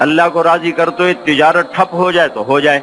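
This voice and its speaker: Over music in the background, a man speaks at a high pitch with fairly even intonation. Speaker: Islamic scholar / preacher. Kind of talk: religious sermon (bayan).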